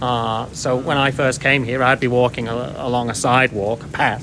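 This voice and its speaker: A man speaks with an English accent at a medium pitch. Noticeable background noise can be heard. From England. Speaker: long-time foreign resident. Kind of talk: street interview.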